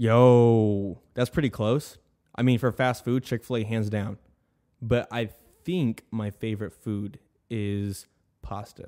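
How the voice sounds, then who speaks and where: A man at a medium pitch talks very slowly with fairly even intonation and long, frequent pauses. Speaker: podcast host and YouTube video editor. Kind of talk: casual chat. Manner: casual, filler-heavy (um, you know what I mean); stuttering at times.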